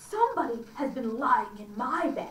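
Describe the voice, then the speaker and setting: A woman performs a put-on character voice at a high pitch and moderate pace, with audible echo. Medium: read story.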